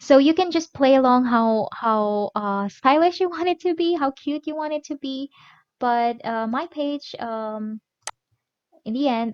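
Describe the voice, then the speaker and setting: A woman's high voice, fairly slow, with lively intonation and big swings in loudness. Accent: Filipino. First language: Filipino. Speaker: mom vlogger teaching productivity app. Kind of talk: tutorial. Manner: halting, many fillers.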